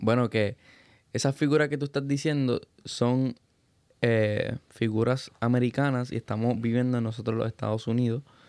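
At a moderate pace, the voice stays monotone and flat with very even loudness, its sound dry and close with no echo on a very clean recording with a silent background. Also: man, medium pitch for a man. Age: 20s. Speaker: podcast host. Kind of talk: casual chat.

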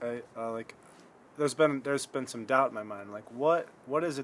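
At a moderate pace, a man with an American accent speaks in a plain, everyday voice with ordinary pitch variation. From Michigan. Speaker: podcast host. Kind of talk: casual chat. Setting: front porch at home.

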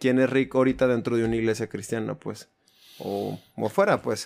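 Using a normal speaking voice, a man at medium pitch talks fairly quickly with fairly even intonation. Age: 30s. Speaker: church musician and video producer. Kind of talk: casual interview.

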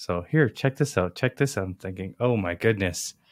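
At a fairly quick pace, a man with a plain, everyday voice and a fairly low pitch is heard in a dry, close sound with no echo on a very clean recording with a silent background. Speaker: podcast host. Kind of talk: casual interview conversation.

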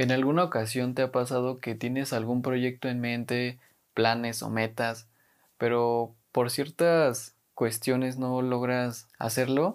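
A man's medium-pitched, monotone voice with flat intonation, very slow, on a very clean recording with a silent background. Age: 20s. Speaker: podcast host and university student. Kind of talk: casual monologue.

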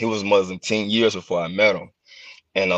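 Against a quiet background, a man speaks at a moderate pace in a dry, close sound with no echo. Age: 30s. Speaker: former professional wrestler. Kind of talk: casual chat.

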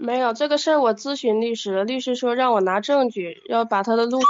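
A woman speaks at a moderate pace. Her pitch is fairly high and her intonation fairly even. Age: 20s. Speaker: caller seeking relationship advice. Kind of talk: phone-in advice call. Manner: halting.

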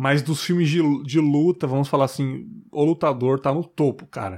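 On a very clean recording with a silent background, a man with fairly high pitch talks at a moderate pace. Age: 20s. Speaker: podcast host. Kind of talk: casual chat.

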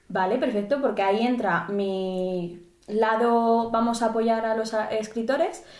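The delivery moves at a fairly slow pace. Audible room echo surrounds it. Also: woman. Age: 20s. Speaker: podcast co-host. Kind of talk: casual chat.

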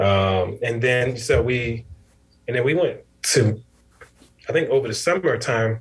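Somewhat breathy, a man with an American accent talks at a medium pitch and moderate pace with ordinary pitch variation. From Connecticut, New Haven. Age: 30s. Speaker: father, scholarship program manager and realtor. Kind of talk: casual interview chat.

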